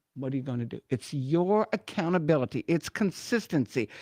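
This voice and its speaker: A woman speaks at a fairly quick pace in an animated tone. The background is quiet. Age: 70s. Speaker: retired runway model, wellness speaker. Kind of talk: radio interview.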